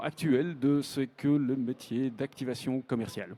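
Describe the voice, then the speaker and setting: A man's medium-pitched voice with a dark, mellow tone, a slight Belgian accent and a fairly slow pace, in a very clean recording with a silent background. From northern Belgium. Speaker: round-table moderator, podcast host. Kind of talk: conference panel moderation. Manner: hesitant, many fillers.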